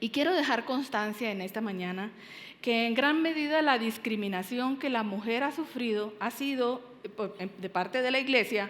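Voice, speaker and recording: Moderate-paced speech from a woman, fairly high in pitch with ordinary variation, amid audible room echo and noticeable background noise. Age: 60s. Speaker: pastor. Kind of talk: sermon. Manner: halting, many fillers.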